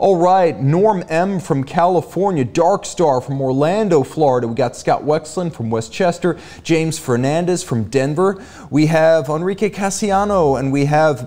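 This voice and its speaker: This man's voice has a dark, mellow tone. He keeps a moderate pace with ordinary pitch variation. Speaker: show host. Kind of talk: live show hosting, greeting viewers. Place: studio. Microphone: studio mic.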